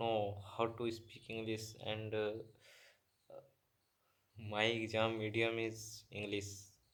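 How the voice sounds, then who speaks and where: A man speaks at a very slow pace. He has a Bihar accent. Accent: Indian English (Bihar). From Bihar, India. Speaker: beginner English learner. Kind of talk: casual talk to camera. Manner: hesitant, many filler sounds.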